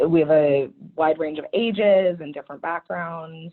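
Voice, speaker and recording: At a moderate pace, a woman talks in a very deep, low voice. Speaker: operations manager. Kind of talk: webinar interview. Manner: loud.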